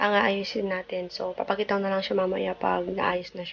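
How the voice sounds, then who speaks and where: The voice is soft-spoken, with monotone, flat intonation. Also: woman. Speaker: vlogger. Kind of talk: casual vlog narration. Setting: at home. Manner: soft-spoken, quiet.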